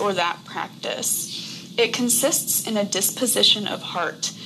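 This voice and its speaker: Noticeable background noise behind a woman's voice of medium pitch. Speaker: co-host. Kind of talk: moderated online group discussion.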